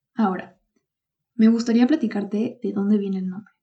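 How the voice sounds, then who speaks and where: Her tone dark and mellow, a woman speaks at a medium pitch with a somewhat breathy voice and fairly even intonation. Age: 20s. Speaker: podcast host and economics student. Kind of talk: solo podcast monologue.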